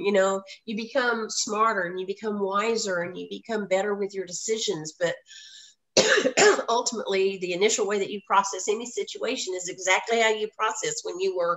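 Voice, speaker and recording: Fairly quick and fairly even in intonation, a woman speaks with an American accent. Her pitch is medium. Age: 60s. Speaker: voice casting agency founder. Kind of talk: radio interview, casual chat. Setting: radio show. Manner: chatty.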